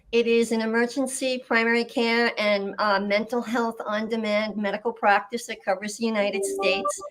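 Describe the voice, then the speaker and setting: There is noticeable background noise as a woman with a fairly high pitch talks at a moderate pace, her intonation fairly even and hardly any pauses between words. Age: 60s. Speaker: healthcare executive. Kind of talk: video panel discussion.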